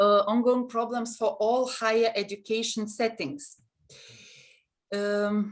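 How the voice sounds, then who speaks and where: A woman with a Lithuanian accent, fairly high in pitch, fairly even in intonation, very slow, with long, frequent pauses. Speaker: university counseling center head, webinar moderator. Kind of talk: webinar moderation. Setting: online webinar. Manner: halting.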